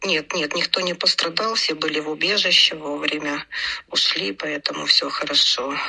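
At a moderate pace, a woman with a very deep, low pitch and ordinary pitch variation speaks over noticeable background noise. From Ukraine. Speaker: pediatric hospital department head. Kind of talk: interview.

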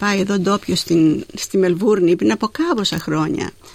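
Noticeable background noise fills the clip. A woman is the one speaking. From Greece, Zakynthos. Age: 80s+. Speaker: poet. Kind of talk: poetry reading. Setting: studio.

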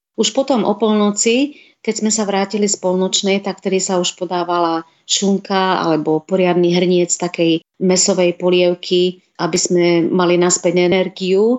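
The clip features an ordinary speaking voice. Intonation is fairly even and loudness is very even. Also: woman, medium pitch for a woman, moderate pace. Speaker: food blogger and hospital nutrition worker. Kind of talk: radio interview.

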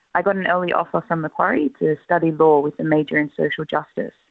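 A woman with an Australian accent speaks at a fairly quick pace. Her voice is very deep and low, with ordinary pitch variation. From Australia, Lebanese family. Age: 20s. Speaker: scholarship recipient, graduate. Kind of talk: interview.

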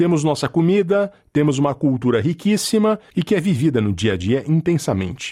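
A man with a Brazilian accent, his fairly high pitch swinging very widely, dark and mellow in tone, with very even loudness and hardly any pauses. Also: moderate pace. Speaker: journalist and podcast presenter. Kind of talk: scripted narration.

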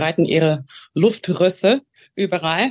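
Woman with an English accent at a very slow pace, with ordinary pitch variation. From Australia, Melbourne. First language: English (speaking German). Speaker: opera singer. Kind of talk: interview. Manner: halting.

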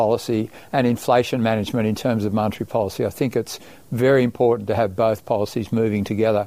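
The speaker is a man with an Australian accent. His tone is dark and mellow. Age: 70s. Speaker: bank chief economist. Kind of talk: interview. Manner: halting.

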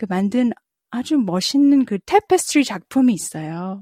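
Somewhat breathy, a woman with a dark, mellow tone speaks with lively intonation. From South Korea. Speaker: jazz vocalist and professor. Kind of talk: interview. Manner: halting, many fillers.

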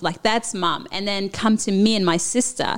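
In a Papua New Guinean accent, a woman speaks with ordinary pitch variation. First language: Papua New Guinean language. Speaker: former lawyer, immigrant. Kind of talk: interview.

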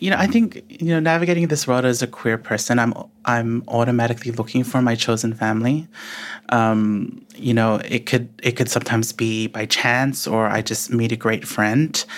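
Delivered at a moderate pace, the speech keeps very even loudness and ordinary pitch variation. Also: man, medium pitch for a man. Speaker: writer and guest. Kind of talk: reading aloud, then interview chat.

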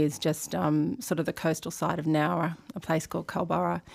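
A woman's very deep, low voice with an Australian accent, in a very clean recording with a silent background. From Sydney, Australia. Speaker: lawyer and organisation chief executive. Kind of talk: interview.

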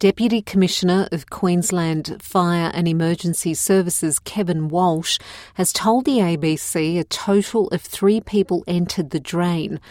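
A woman with an Australian accent speaks at a fairly slow pace in a fairly low voice, with hardly any pauses and fairly even intonation. The recording is very clean and dry, close and free of echo, with a silent background. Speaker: news presenter. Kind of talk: newsreading, scripted bulletin read aloud in clear, plain English for learners. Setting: studio. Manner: measured, even-paced and neutral; formal, clearly enunciated.

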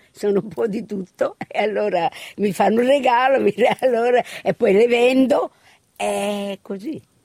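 Her tone is dark and mellow, her pitch fairly high. The woman's voice has a dry, close sound with no echo. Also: ordinary pitch variation, fairly slow pace. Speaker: shop owner. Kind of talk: interview.

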